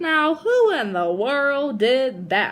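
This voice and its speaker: This woman puts on a character voice set high in pitch. Her pitch swings up and down very widely. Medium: read story.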